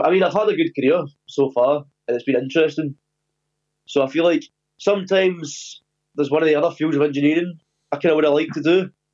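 With a strong Scottish accent, a man talks at a very fast pace and a fairly high pitch, using fairly even intonation and long, frequent pauses. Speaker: podcast guest, navy weapons engineer. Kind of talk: casual, sweary.

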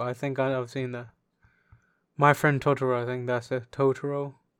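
Over a quiet background, a man speaks in a medium pitch with monotone, flat intonation. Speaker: podcast host. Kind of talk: casual banter podcast. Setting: home recording, echoey room. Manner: crude, joking, banter.

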